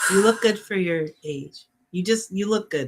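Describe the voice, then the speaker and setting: This is a normal speaking voice with lively intonation. The pace is moderate. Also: woman. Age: 50s. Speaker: podcast co-host. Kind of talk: casual chat. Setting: livestream.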